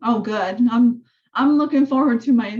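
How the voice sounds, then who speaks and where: A woman talks at a fairly slow pace in a high pitch, her tone dark and mellow. The background is quiet. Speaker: real estate coach. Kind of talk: training session over video call. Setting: zoom call. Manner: casual, filler-heavy. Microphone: video call.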